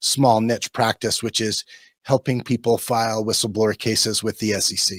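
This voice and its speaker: This man's voice sits at a medium pitch and moves at a moderate pace. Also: very clean recording, silent background. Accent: American. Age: 50s. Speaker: securities lawyer. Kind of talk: podcast interview. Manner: hesitant, many fillers.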